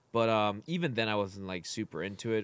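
With an American accent, a plain, everyday voice moves at a moderate pace on a very clean recording with a silent background. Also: man. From Chicago, US Midwest. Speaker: podcast co-host. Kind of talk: casual chat.

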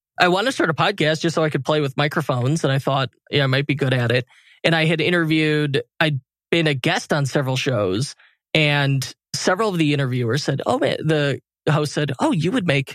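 This is a normal speaking voice: a man with a fairly high pitch, talking at a fairly quick pace with very even loudness. The recording is very clean with a silent background, and the sound is dry and close with no echo. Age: 30s. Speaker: e-commerce agency owner and podcaster. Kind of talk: interview conversation.

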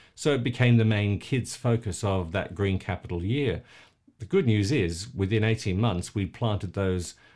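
In a very clean recording with a silent background, a man with an Australian accent speaks slowly at a fairly low pitch. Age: 50s. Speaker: environmental campaigner and charity founder. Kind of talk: casual interview.

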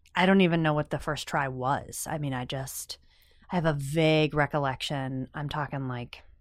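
Over a silent background on a very clean recording, a woman with an American accent speaks at a moderate pace in a very deep, low pitch with fairly even intonation. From rural Pennsylvania. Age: 30s. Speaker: recovering alcoholic sharing her story. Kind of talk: interview testimony.

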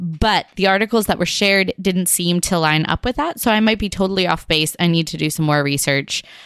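Speaking at a fairly quick pace with hardly any pauses, a woman uses a fairly low pitch and ordinary pitch variation. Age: young. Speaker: podcast co-host. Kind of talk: casual chat. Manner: shaky voice.

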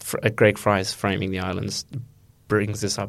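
At a fairly quick pace, a man talks in an Australian accent. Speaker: undergraduate student.

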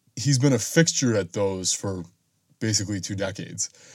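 A man talks at a moderate speed in a fairly low voice, his pitch varying in an ordinary way. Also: long, frequent pauses. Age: 20s. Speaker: podcast host. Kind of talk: solo monologue podcast. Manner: hesitant, with fillers and repeated words.

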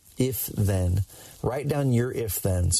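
This man has a fairly low, dark and mellow voice that is somewhat breathy, with ordinary pitch variation. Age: 30s. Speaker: podcast host and entrepreneur. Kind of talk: solo monologue. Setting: in a car. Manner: animated.

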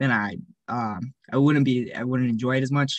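A man's ordinary speaking voice at medium pitch, fairly quick and with fairly even intonation, in a dry, close sound with no echo and a quiet background. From Alberta, Canada (Cochrane). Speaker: university student athlete. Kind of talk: interview.

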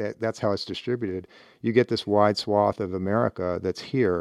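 A man with a plain, everyday voice talks fairly quickly in a fairly low pitch with ordinary pitch variation. The sound is dry and close with no echo, and the background is quiet. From US Midwest, Cleveland, Ohio. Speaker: former navy secretary. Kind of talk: interview.

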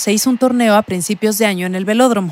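Noticeable background noise sits under this recording. A woman talks in a medium pitch with ordinary pitch variation. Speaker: journalist and podcast host. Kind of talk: scripted narration.

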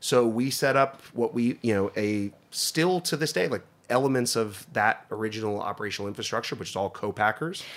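Speaking in a normal speaking voice with an American accent, a man talks at a fairly quick pace with hardly any pauses, a medium pitch and ordinary pitch variation, on a very clean recording with a silent background. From northeastern Pennsylvania. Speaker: food company general manager. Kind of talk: casual interview.

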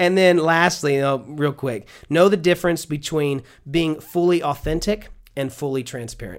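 A man speaks in an animated tone with a fairly high pitch. His pace is moderate. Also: ordinary pitch variation. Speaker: church minister of worship. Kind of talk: casual interview.

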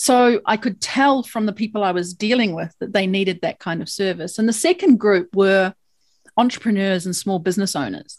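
Speaking in a New Zealand accent, a woman keeps a medium pitch, a moderate pace and ordinary pitch variation on a very clean recording with a silent background. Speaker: lawyer. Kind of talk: interview.

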